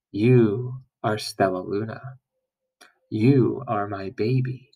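Using a put-on character voice, a man talks at a very slow pace in a medium pitch. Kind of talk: storybook read-aloud. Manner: tender.

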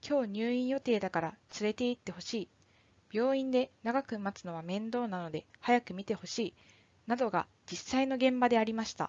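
Fairly high in pitch, a woman speaks at a moderate pace in an unremarkable speaking voice with ordinary pitch variation. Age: 20s. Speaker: firefighter. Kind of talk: scripted narration.

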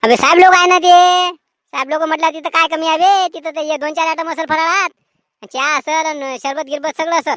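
In a cartoonish character voice, the speaker rattles along at a fairly quick pace with a high pitch. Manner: folksy, colloquial rural Marathi.

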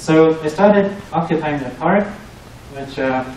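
A man's fairly high-pitched voice with ordinary pitch variation, light background noise and audible room echo. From Germany. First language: German. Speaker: researcher and PhD student; presenter. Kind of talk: tech talk presentation. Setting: meetup with live audience. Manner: hesitant, many fillers. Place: meeting room.

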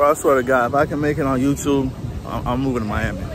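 A man talks at a very fast pace. Clear music plays in the background, and the sound is dry with no echo. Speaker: vlogger. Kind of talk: casual vlog chat. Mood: excited, enthusiastic. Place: street. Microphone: phone near.

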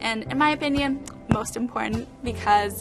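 Over clear music in the background, a woman speaks at a fairly slow pace. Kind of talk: interview answer. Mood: warm, enthusiastic. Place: office. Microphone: lapel.

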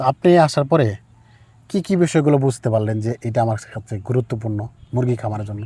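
The man's voice has a dark, mellow tone and is somewhat breathy. His pitch is medium with ordinary variation. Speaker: poultry farmer and chick seller. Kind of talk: on-farm interview and farming advice.

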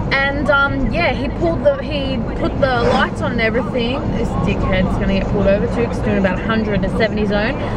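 Over loud background noise, the speaker keeps a moderate pace with hardly any pauses. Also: woman. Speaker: vlogger. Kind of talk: casual vlog chat. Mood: animated, indignant. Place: car.

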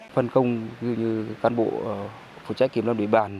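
An unremarkable speaking voice from a man, medium-pitched and at a fairly slow pace. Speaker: news reporter. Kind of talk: news reading.

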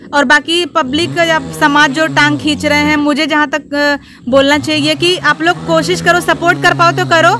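A woman with a high pitch uses a raised, projected voice at a fairly slow pace, her intonation fairly even and her loudness very even, in a dry sound with no echo and noticeable background noise. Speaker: interviewee, comedy performer. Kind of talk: interview answer. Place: open country. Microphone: handheld.

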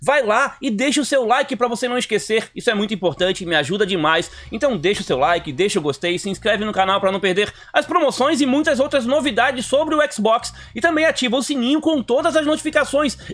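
A man speaks at an extremely high pitch with lively intonation. His pace is fairly quick. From Brazil. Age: 40s. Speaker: gaming YouTuber. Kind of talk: video commentary on game deals. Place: home room.

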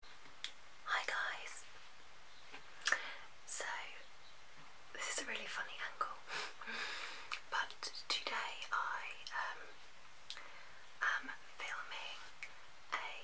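A woman whispering at a very slow pace, with long, frequent pauses. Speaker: ASMR creator. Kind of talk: ASMR soft-spoken talk. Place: home room. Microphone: phone near.

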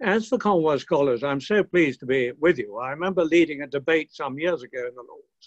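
Over a quiet background, a man with a British accent speaks at a fairly high pitch with lively intonation. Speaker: retired peer. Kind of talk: speech. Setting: video call. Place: home room. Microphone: webcam.

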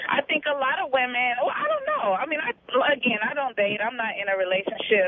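A woman at a fairly quick pace, high in pitch with very wide pitch swings, over noticeable background noise. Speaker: singer. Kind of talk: radio call-in chat. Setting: phone call.

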